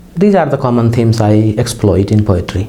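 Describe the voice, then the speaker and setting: A man with a Nepali accent, amid audible room echo and noticeable background noise. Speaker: poet and lecturer. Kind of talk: interview. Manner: halting.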